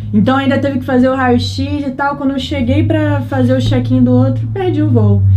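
A woman with a Rio de Janeiro accent speaks at a fairly quick pace amid noticeable background noise and audible room echo. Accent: Rio de Janeiro (carioca). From Brazil, Rio de Janeiro. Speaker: travel content creator. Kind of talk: casual chat.

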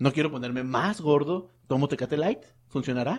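With a Mexican accent, a man speaks at a moderate pace in a fairly high voice. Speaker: podcast co-host. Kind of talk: casual chat.

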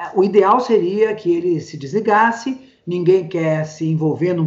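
With a normal speaking voice, a woman talks at a fairly slow pace and medium pitch, with ordinary pitch variation. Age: 60s. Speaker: social psychology professor. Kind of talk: casual interview. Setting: video call.

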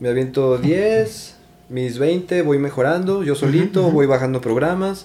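A man speaks at a fairly slow pace with a dark, mellow tone. His pitch sits fairly high, and his intonation is lively. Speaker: triathlete. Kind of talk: casual chat.

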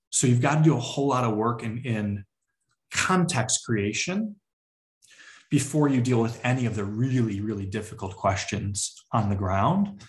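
With an American accent, a man speaks in a somewhat breathy voice and with lively intonation. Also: medium pitch for a man, moderate pace. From Chicago area, US Midwest. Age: 30s. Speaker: community organizer. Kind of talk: interview conversation.

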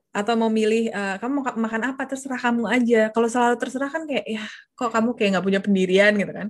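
Delivery is very fast, with fairly even intonation. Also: woman, fairly high pitch for a woman. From Jakarta, Indonesia. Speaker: confidence coach. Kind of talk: casual interview.

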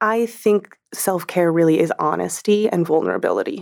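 Her voice is an unremarkable speaking voice, a woman at a fairly low pitch with ordinary pitch variation and a fairly quick pace. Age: 30s. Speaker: relationship expert. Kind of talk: casual interview.

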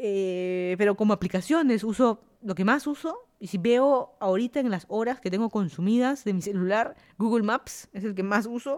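A woman with a Lima accent, fairly high-pitched, at a moderate pace. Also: ordinary pitch variation. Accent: Peruvian (Lima) Spanish. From Lima, Peru.

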